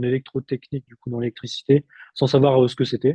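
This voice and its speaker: Somewhat breathy, dark and mellow speech at a fairly quick pace, monotone and flat, in a dry, close recording with no echo. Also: man. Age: 30s. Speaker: therapist, former lift technician. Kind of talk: interview testimony. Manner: halting, many fillers.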